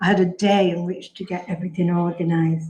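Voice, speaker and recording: The voice is somewhat breathy, with a dark, mellow tone. Its intonation is monotone and flat. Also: woman. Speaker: poet. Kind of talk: memorial tribute speech. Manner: halting.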